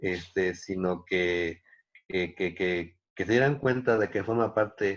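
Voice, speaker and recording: The speech is very slow, with fairly even intonation and a quiet background. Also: man. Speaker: dance teacher and researcher. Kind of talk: interview conversation. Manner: halting, many repetitions.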